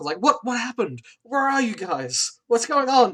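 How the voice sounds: A man puts on a gruff character voice, extremely high in pitch, with lively intonation and a moderate pace.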